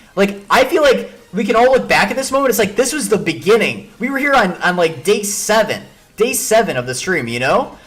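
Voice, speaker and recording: An animated, high-pitched man with an American accent, talking at a fairly quick pace with lively intonation and hardly any pauses. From Chicago, Illinois. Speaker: chess streamer. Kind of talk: live stream commentary. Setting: live stream. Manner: fast, with many repetitions and fillers.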